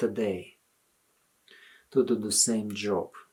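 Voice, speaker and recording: The pace is very slow, in a Russian accent. The recording is very clean with a silent background. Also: man. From Soviet Union. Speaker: religious commentator. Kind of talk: video appeal monologue.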